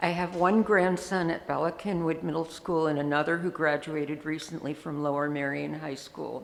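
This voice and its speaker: Her very deep, low voice carries fairly even intonation as this woman speaks at a moderate pace. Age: 70s. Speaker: grandparent giving public comment. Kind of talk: public comment at school board meeting. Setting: school board meeting.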